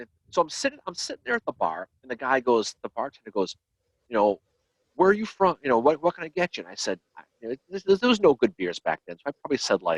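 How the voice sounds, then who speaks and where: In a Boston accent, a man talks at a very fast pace with vocal fry, very wide pitch swings and big swings in loudness, the sound dry and close with no echo. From Boston, Massachusetts. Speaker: history podcast host. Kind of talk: casual chat. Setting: live video stream.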